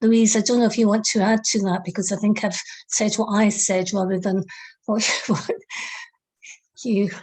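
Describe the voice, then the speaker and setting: Monotone, flat delivery from a woman at medium pitch, somewhat breathy, very even in loudness, at a moderate pace with long, frequent pauses. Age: 60s. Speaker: webinar participant. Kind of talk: group discussion feedback.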